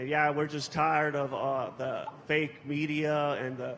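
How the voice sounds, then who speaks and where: A man speaks at a moderate pace with a fairly high pitch and monotone, flat intonation. Noticeable background noise sits behind him. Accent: American. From Los Angeles, US. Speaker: political activist. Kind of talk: panel speech. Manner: casual, hesitant.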